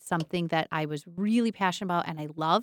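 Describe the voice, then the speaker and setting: A woman with an American accent speaks in a normal speaking voice at a fairly low pitch with ordinary pitch variation, in a very clean recording against a silent background. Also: dry, close sound with no echo. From northern Michigan. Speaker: school superintendent. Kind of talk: casual interview.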